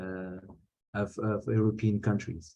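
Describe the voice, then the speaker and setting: Speaking fairly slowly with a Portuguese accent, a man uses a fairly low, dark and mellow voice. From Portugal. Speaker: activist. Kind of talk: conference talk. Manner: halting, many fillers and repetitions.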